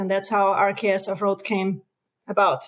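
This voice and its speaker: An Austrian accent at a moderate pace. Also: woman. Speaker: RV company co-founder. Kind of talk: interview.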